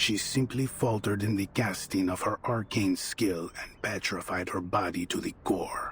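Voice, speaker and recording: A cartoonish character voice with a solemn tone speaks at a moderate pace over clear background noise. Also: man. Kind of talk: archaic formal speech. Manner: solemn, measured.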